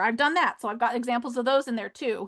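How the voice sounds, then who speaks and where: Against a quiet background, the voice has a bright, sharp tone and lively intonation. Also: woman. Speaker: education specialist demonstrating coding tools. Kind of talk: webinar presentation. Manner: fast; animated.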